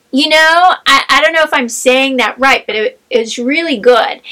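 A woman with an American accent uses a raised, projected voice that sits high in pitch, with ordinary pitch variation. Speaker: podcast co-host, librarian. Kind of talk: casual chat.

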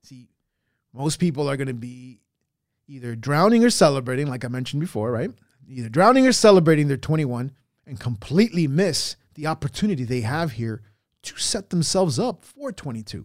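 The recording is very clean with a silent background, and a man speaks at a fairly high pitch with lively intonation. His pace is fairly quick, with big swings in loudness. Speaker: electrical contractor podcaster. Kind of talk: motivational monologue, solo podcast/video talk. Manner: blunt, profane, fired-up, emphatic; repetitive, punchy, urgent.

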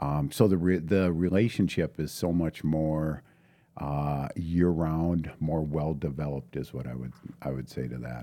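Speaking at a fairly slow pace, a man with an Upper Midwest accent has a very deep, low pitch. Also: ordinary pitch variation. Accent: Upper Midwest (Minnesota). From northern Minnesota, International Falls. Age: 50s. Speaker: high school football coach and math teacher. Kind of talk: casual interview conversation.

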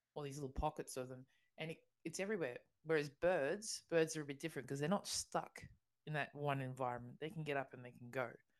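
A woman with an Australian accent speaks at a very fast pace in a very deep, low pitch. Her pitch variation is ordinary, but her loudness swings widely. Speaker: podcast co-host. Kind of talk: casual chat.

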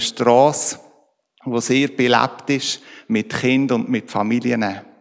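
A man speaks with medium pitch and fairly even intonation. It is a plain, everyday voice. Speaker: church team member. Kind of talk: testimony.

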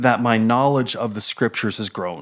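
Recorded very cleanly against a silent background, a man with a New Jersey accent talks at a moderate pace. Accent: American, New Jersey. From New Jersey, US. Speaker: church board chair, minister. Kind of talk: interview, casual chat about faith.

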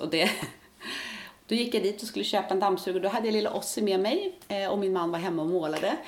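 There is noticeable background noise. A woman talks at a very fast pace. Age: 50s. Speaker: retired nurse, part-time Mallorca resident. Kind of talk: interview.

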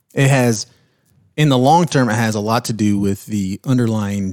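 A man speaks in a plain, everyday voice at medium pitch with fairly even intonation. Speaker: podcast co-host. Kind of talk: casual interview chat about investing.

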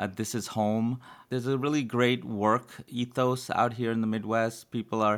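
The man has an unremarkable speaking voice, medium in pitch, at a moderate pace. The recording is very clean with a silent background. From New York City (Brooklyn). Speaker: epidemiologist and public health dean. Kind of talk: interview.

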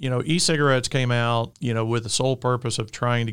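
Fairly quick speech comes with an Alabama accent and fairly even intonation. The recording is very clean, with a silent background. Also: man. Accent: Southern US (Alabama). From Alabama, US South. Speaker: tech industry executive. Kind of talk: interview. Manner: halting, filler-heavy.

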